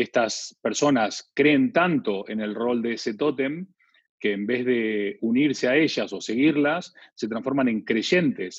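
A man with an Argentine accent at a medium pitch, talking at a very slow pace. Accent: Argentine Spanish (voseo). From Argentina. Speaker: branding consultant and author. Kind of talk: interview.

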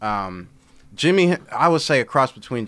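A man with an American accent uses a normal speaking voice and lively intonation. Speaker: social media influencer. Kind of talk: casual chat.

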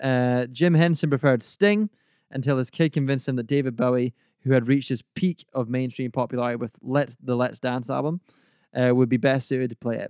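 A man with a medium-pitched, ordinary speaking voice talks at a fairly quick pace with ordinary pitch variation, recorded dry and close with no echo. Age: 20s. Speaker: podcast host. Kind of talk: casual chat.

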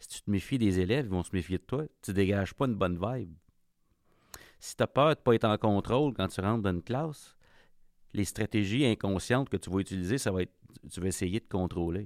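The man, with a Quebec accent and fairly low pitch, moves at a fairly quick pace broken by long, frequent pauses, and the sound is dry and close with no echo. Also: ordinary pitch variation, very clean recording, silent background. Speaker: podcast host. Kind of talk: casual interview conversation. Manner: hesitant, repetitive.

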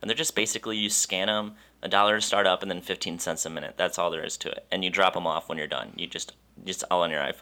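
A man with an American accent, fairly low in pitch yet bright and sharp in tone, at a very fast pace, on a very clean recording with a silent background. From Wisconsin. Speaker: photographer. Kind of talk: casual chat.

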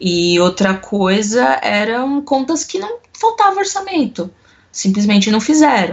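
A woman's fairly high voice at a fairly slow pace, with very wide pitch swings. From Brazil, São Paulo city. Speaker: corporate controller. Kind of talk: interview.

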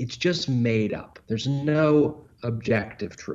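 A man speaks at a medium pitch with ordinary pitch variation in an ordinary speaking voice. The background is quiet. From London, England (moved to Southern California at eight). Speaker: author. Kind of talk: interview.

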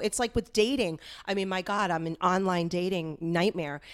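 A woman with an American accent talks at a moderate pace and a medium pitch. Her tone is animated, and the recording is very clean with a silent background. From Westwood, US. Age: 50s. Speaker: stand-up comedian. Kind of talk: casual chat.

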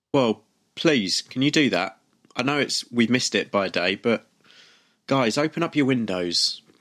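In an English accent, the speaker uses a playful tone and lively intonation at a moderate pace, with long, frequent pauses and a dry, close sound with no echo. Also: man, medium pitch for a man. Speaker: podcast host. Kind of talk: casual chat.

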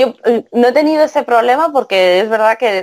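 A woman's lively intonation, in a Castilian accent. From Spain. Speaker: translator. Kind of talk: interview.

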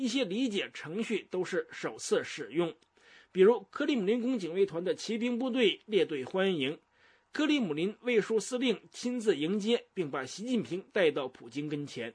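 Against a quiet background, a man with a high voice speaks at a moderate pace, his pitch swinging very widely. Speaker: news correspondent. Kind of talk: news report. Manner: formal.

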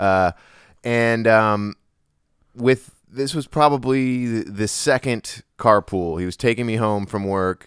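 A man's plain, everyday voice, fairly low in pitch and fairly slow, on a very clean recording with a silent background. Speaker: podcast co-host. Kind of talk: casual comedic chat with freestyle rap.

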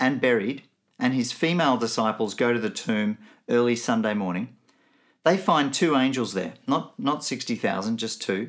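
In an Australian accent, a man speaks at a medium pitch and moderate pace with lively intonation, in a very clean recording with a silent background. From Nigeria and Benin, then Melbourne as a teenager. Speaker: theology lecturer. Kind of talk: recorded teaching talk.

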